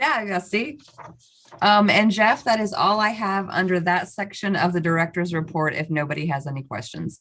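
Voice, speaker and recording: With an ordinary speaking voice, a woman talks at a moderate pace and medium pitch, her intonation lively. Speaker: staff member presenting a report at a public meeting. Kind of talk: formal meeting. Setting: meeting room.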